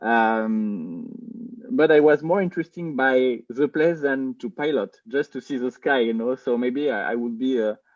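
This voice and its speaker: A man in a French accent speaks at a medium pitch and moderate pace, with ordinary pitch variation. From France. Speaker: film director. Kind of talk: interview. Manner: halting, many fillers and repeats.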